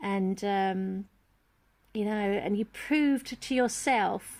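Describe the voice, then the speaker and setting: A woman uses an ordinary speaking voice, fairly high in pitch with ordinary pitch variation. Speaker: parent and education campaigner. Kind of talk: casual talk to camera.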